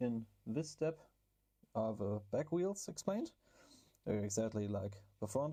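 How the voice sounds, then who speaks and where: With a German accent, a man speaks at a medium pitch in a dark, mellow tone with lively intonation. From Germany. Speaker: RC car hobby YouTuber. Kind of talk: build tutorial. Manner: casual, hesitant with fillers.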